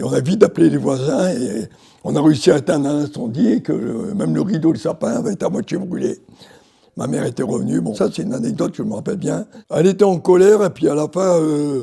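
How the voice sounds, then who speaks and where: Very fast and full of lively intonation, a man talks at a fairly high pitch with vocal fry. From Algeria, Morocco and France. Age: 80s+. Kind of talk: interview answer, personal memories.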